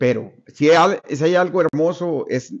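Just a man, with a quiet background. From Sonora, Mexico. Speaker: retired schoolteacher. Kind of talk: interview. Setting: interviewer's home. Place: home room. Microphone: studio mic.

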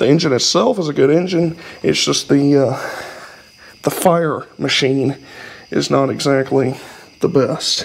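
The speaker, in a Southern US accent, talks at a fairly slow pace with ordinary pitch variation. Long, frequent pauses come through over light background noise. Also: man, fairly high pitch for a man. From US South. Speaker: YouTuber working on old vehicles. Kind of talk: casual garage vlog. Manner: rambling, colloquial. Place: garage. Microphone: camera far.

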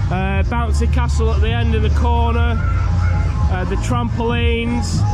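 Loud music plays in the background. A man is speaking over it. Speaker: fairground vlogger. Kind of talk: casual vlog chat. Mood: cheerful, self-amused. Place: open country. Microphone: phone near.

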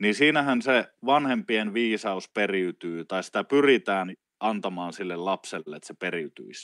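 Set against a quiet background, a normal speaking voice with lively intonation talks at a fairly slow pace, the sound dry with no echo. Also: man, fairly low pitch for a man, big swings in loudness. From Finland, Oulu; Finland. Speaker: traditional wisdom teacher. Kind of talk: casual interview conversation. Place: home room.

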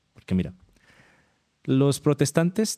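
A man speaks at a moderate pace in a dark, mellow tone against a quiet background. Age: 30s. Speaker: atheist content creator, former evangelist. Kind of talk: casual interview. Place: home room. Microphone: studio mic.

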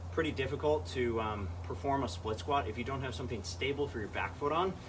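A man talking at a fairly quick pace amid noticeable background noise. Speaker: fitness vlogger. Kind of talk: casual vlog chat explaining a workout. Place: garage. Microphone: camera far.

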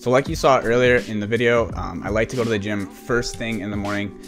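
With clear music playing behind him, a man speaks at a very fast pace and with fairly even intonation. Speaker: lifestyle youtuber. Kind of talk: casual vlog chat. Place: home room. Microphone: studio mic.

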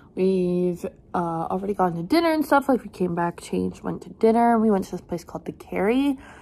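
With lively intonation, a woman keeps to a moderate pace. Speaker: travel vlogger. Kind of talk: casual vlog chat. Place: home room. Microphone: phone near.

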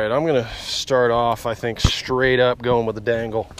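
A man with an American accent, dry sound with no echo, and noticeable background noise. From US South. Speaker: fishing vlogger; angler vlogger. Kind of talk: casual outdoor vlog commentary; casual vlog chat. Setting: on a boat outdoors. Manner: animated. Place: boat. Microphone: phone near.

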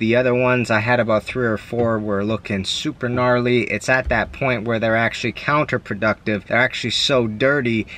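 A man talks at a moderate pace over light background noise. The sound is dry, with no echo. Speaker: tradesman vlogger. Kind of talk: casual vlog chat. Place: car. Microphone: phone near.

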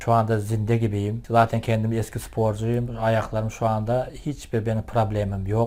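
A man talks at a moderate pace. He has a medium pitch. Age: 50s. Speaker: product user. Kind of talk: testimony. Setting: at home.

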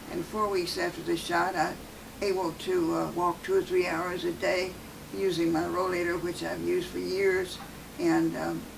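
A woman at a moderate pace amid noticeable background noise. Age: 80s+. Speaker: patient. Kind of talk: patient testimonial. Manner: casual, slightly hesitant. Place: office.

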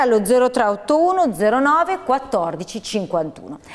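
Against a quiet background, a woman is talking. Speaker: TV show host. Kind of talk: TV show introduction. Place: studio.

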